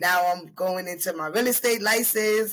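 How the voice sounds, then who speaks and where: The speaker is a woman with a slight Panamanian accent. Her intonation stays fairly even. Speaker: beautician and entrepreneur. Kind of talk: casual interview chat. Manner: halting.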